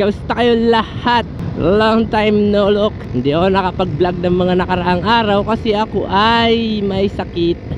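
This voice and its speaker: A man with a high pitch talks over noticeable background noise. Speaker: motovlogger. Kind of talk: casual vlog talk while riding. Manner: animated.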